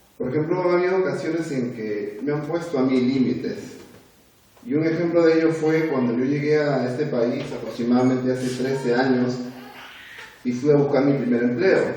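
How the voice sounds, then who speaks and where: Audible room echo and noticeable background noise accompany a man speaking. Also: fairly high pitch for a man, ordinary pitch variation, moderate pace. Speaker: lay preacher. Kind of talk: sermon to a youth group. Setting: church. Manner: conversational, with hesitations.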